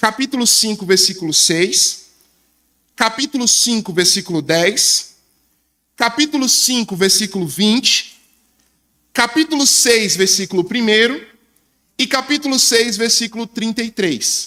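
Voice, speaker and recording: A man with a high pitch and ordinary pitch variation speaks fairly slowly in a raised, projected voice at very even loudness. His tone is bright and sharp, broken by long, frequent pauses. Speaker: preacher. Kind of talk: sermon.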